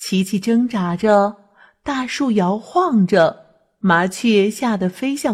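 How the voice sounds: Over a quiet background, the clip carries a natural reading voice.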